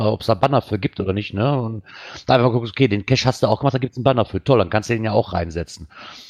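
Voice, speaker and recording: In a dry, close sound with no echo, a man's intonation stays fairly even. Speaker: podcast co-host. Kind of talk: casual chat. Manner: calm, soothing.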